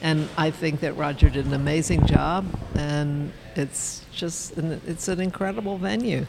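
A woman's very deep, low voice at a fairly slow pace, with ordinary pitch variation and noticeable background noise. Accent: American. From Baltimore, US. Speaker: photojournalist. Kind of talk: casual interview. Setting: event venue.

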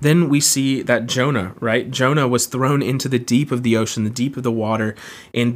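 A man with an American accent has a plain, everyday voice at a medium pitch. He keeps a moderate pace on a very clean recording with a silent background. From Florida, US South (Jacksonville). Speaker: campus ministry staff, podcast host. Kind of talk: teaching talk. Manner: casual, with many fillers.

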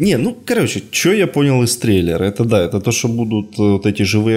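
An ordinary speaking voice comes from a man at a medium pitch. He keeps a moderate pace with lively intonation. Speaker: podcast host. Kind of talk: casual chat.

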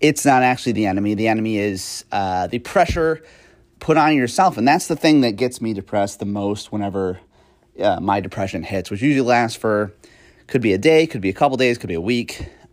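Speaking in a plain, everyday voice, a man moves at a fairly quick pace and medium pitch with lively intonation, on a very clean recording with a silent background. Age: 30s. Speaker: podcast host. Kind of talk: casual monologue. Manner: frequent fillers and laughs.

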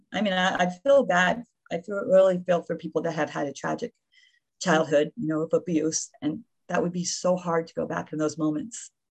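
Heard in a dry, close sound with no echo against a quiet background, a woman with an American accent has an unremarkable speaking voice, fairly low in pitch, with ordinary pitch variation and a moderate pace. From Florida (Davie). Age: 60s. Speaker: retired nurse and memoirist. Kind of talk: interview.

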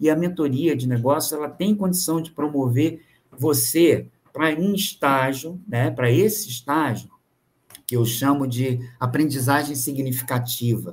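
Somewhat breathy and fairly high-pitched, a man speaks at a fairly slow pace with ordinary pitch variation. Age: 50s. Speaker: business mentor. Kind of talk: casual chat.

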